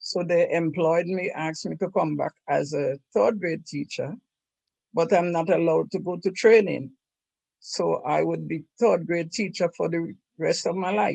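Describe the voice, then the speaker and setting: At a moderate pace, a woman speaks with a fairly low pitch, vocal fry, a dark, mellow tone and ordinary pitch variation. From St. Vincent, Caribbean. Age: 70s. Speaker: retired nurse, oral history interviewee. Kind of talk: oral history interview.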